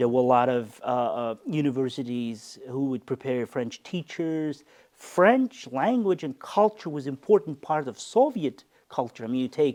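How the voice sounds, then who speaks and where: A man with a dark, mellow tone speaks fairly slowly at medium pitch with ordinary pitch variation, in a dry, close sound with no echo and a quiet background. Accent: American. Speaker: university rector. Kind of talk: interview. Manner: halting.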